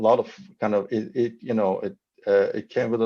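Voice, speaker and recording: A man with a Persian accent, medium pitch and a moderate pace. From Iran. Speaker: novelist. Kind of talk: panel discussion. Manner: halting.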